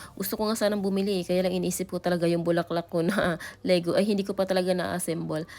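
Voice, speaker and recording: Words come out very fast in a monotone, flat intonation. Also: woman, medium pitch for a woman. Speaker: travel vlogger. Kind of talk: vlog narration. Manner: casual.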